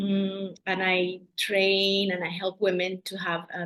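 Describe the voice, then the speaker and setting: A woman with a Colombian accent at a medium pitch. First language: Spanish. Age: 40s. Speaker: doula. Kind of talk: interview. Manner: halting.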